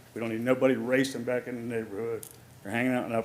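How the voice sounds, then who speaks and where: A man talks at a very fast pace. His medium-pitched voice is monotone and flat. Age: 60s. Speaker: resident speaking at public comment. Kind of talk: public comment at township meeting. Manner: heated, emphatic.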